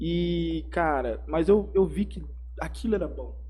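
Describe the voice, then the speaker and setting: Audible room echo surrounds a man's voice. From Brazil, Mato Grosso do Sul (Campo Grande). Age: 20s. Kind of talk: casual interview, personal testimony. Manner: casual, slangy.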